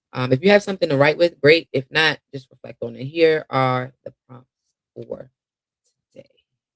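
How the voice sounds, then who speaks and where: Recorded with a dry, close sound and no echo, an unremarkable speaking voice moves at a moderate pace with ordinary pitch variation and big swings in loudness. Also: man, fairly high pitch for a man. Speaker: mindfulness coach. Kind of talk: guided meditation. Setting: live stream.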